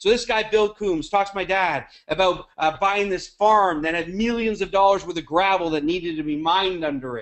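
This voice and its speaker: With an American accent, a man speaks at a high pitch with ordinary pitch variation. His tone is animated and his pace fairly quick. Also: hardly any pauses. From Canada. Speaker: network marketing leader. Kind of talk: webinar talk. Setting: conference call.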